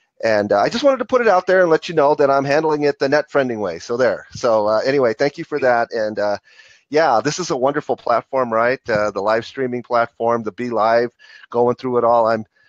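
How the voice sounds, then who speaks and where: A plain, everyday voice, this man's medium-pitched speech moves at a fairly quick pace with ordinary pitch variation and a dry, close sound with no echo. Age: 60s. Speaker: guest on live stream. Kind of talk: casual chat.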